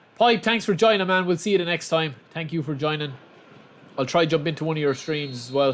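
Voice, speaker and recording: A fairly quick delivery in an Irish accent, with ordinary pitch variation. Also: man, fairly high pitch for a man. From Republic of Ireland, outside Dublin. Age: 30s. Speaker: gaming streamer. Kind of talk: live gameplay stream chat. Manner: casual; animated.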